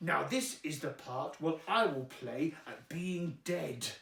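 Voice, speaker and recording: A put-on character voice, playful in tone, at a fairly slow pace with a slight echo. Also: man. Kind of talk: rhyming bedtime story. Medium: read story. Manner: cheeky, rhyming, playful.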